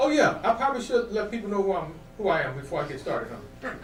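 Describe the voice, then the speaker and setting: A man with an American accent speaks with lively intonation. Room echo is audible, along with noticeable background noise. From Ohio, US Midwest (Akron). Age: 60s. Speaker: comedian. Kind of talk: stand-up. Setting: studio.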